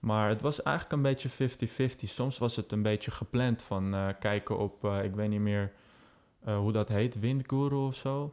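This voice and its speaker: This is a normal speaking voice with ordinary pitch variation. It moves at a fairly slow pace. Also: man, medium pitch for a man, very even loudness. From Netherlands, Amsterdam. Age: 20s. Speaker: aviation social media founder. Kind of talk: casual interview chat.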